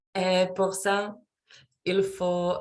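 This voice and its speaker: The speaker has a non-native accent and talks at a very slow pace. The background is quiet. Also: woman. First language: not French (speaking French). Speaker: French learner, student. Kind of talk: class oral presentation. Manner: halting, many hesitations.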